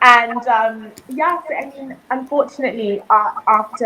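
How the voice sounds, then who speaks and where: A woman speaks with a British accent. There is noticeable background noise behind her. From southern Africa, raised in the UK from childhood. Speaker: reality TV competitor. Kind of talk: interview.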